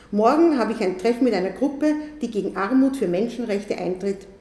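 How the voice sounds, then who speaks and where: Over noticeable background noise, a woman talks at a moderate pace in a fairly high pitch with lively intonation. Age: 70s. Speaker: retired primary school teacher and author. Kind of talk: symposium talk with reading aloud. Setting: symposium in press centre.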